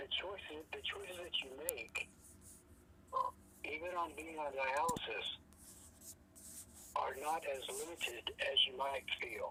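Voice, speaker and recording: A woman talks at a fairly slow pace with long, frequent pauses. Noticeable background noise sits behind her voice. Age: 60s. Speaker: peer mentor, former dialysis patient. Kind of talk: peer support conversation. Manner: halting.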